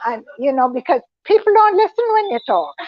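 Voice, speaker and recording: The intonation is lively. The speaker is a woman. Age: 80s+. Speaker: health retreat talk speaker. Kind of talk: informal talk to a group. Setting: group meeting at a potluck. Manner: halting.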